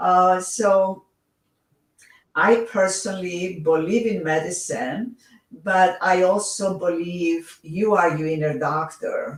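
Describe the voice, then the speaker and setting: Speaking very slowly, a woman with a Greek accent uses a medium pitch and ordinary pitch variation. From Greece. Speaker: author and reiki teacher. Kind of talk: interview. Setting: livestream. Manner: halting.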